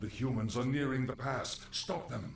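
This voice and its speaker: At a moderate pace, a put-on character voice comes through with clear background noise. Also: man. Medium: video game. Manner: deferential.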